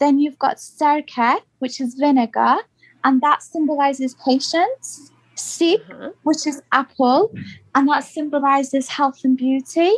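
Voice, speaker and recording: At a fairly slow pace and with ordinary pitch variation, the speaker has a British accent, recorded with a dry, close sound and no echo. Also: woman, high pitch for a woman. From UK. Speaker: podcast guest. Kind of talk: casual interview.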